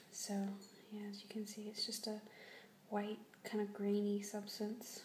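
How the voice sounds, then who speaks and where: A soft-spoken woman talks with monotone, flat intonation over noticeable background noise. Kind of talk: ASMR product review.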